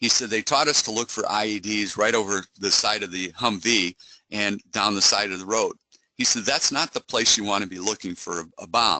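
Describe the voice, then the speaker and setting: At a fairly quick pace and fairly low pitch, a man talks in a dry, close sound with no echo. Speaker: cybersecurity company executive. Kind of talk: webinar presentation. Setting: online webinar. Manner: fast.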